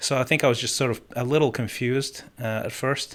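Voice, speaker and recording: A man's medium-pitched voice with a slight non-native accent, at a fairly quick pace, in a very clean recording with a silent background. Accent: slight foreign. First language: Spanish or Russian. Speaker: musician and life coach. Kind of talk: interview. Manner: halting, many false starts.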